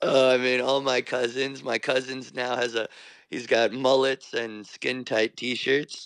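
In a New York accent, a man with a medium pitch speaks at a fairly slow pace in a monotone, flat delivery, with a dry, close sound and no echo. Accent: New York American. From New York, US (Irish parents). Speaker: fashion designer. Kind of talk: radio interview. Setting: remote line from New York.

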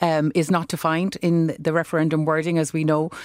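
A woman speaks in a Cork accent. Her pitch is fairly low. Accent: Irish (Cork). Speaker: law professor. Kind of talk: debate. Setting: studio.

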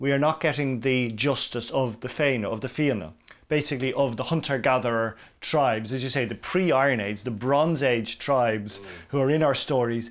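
A man with an Irish accent, medium pitch, ordinary pitch variation and a moderate pace. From Ireland. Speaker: radio presenter. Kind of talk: documentary interview.

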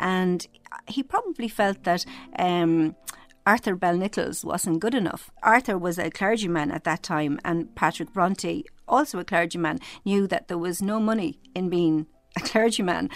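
With an Irish accent, a woman speaks at a moderate pace. Her medium pitch shows ordinary pitch variation. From Ireland. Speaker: novelist. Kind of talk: interview.

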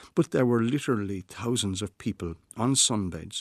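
A man with an Irish accent speaks at a fairly low pitch and moderate pace with ordinary pitch variation, the sound dry and close with no echo and the recording very clean against a silent background. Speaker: writer. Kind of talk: scripted narration.

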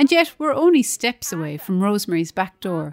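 A woman speaks in an Irish accent at a moderate pace. Her pitch swings very widely. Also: dry, close sound with no echo. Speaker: radio reporter. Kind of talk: scripted narration.

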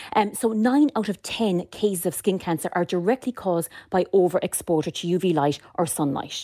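Speaking with a northwest Irish accent, a woman uses a dark, mellow tone at medium pitch with lively intonation. Her fairly quick delivery has hardly any pauses, in a dry, close sound with no echo on a very clean recording with a silent background. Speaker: dermatology nurse specialist. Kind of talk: radio interview.

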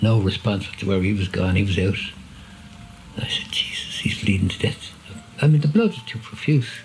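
A fairly low-pitched man speaks in a Dublin accent at a moderate pace, with ordinary pitch variation. He leaves long, frequent pauses, and there is noticeable background noise. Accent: Dublin Irish. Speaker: army veteran. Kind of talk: personal testimony and video call conversation. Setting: video call. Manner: halting.

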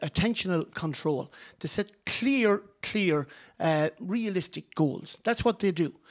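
On a very clean recording with a silent background, a man speaks at a high pitch with lively intonation. The sound is dry and close, with no echo. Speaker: sports broadcaster and former goalkeeper. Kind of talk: heated debate. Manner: emphatic, interrupting, fast.

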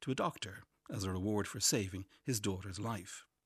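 The recording is very clean with a silent background. A man speaks with an Irish accent. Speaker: essayist. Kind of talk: reading aloud.

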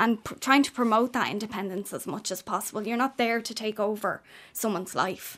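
A woman with an Irish accent, fairly high in pitch, fairly quick in pace and fairly even in intonation. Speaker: care company manager. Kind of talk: radio interview. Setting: studio.

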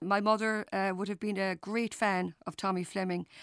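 A woman with a Cork accent speaks at medium pitch and a moderate pace, in a monotone, flat intonation. The sound is dry and close with no echo, in a very clean recording with a silent background. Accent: Cork Irish. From Ireland, West Cork. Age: 50s. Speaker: public health nurse. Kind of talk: casual interview.

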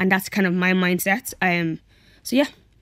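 A woman with a Dublin accent, medium pitch, monotone and flat in intonation. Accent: Dublin Irish. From Ireland, Dublin area (came from Nigeria aged five). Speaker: business founder and social worker. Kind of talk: radio interview.

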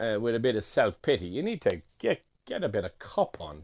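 A man with an Irish accent at a moderate pace, against a quiet background. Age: 50s. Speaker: chef and restaurateur. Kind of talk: interview. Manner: halting.

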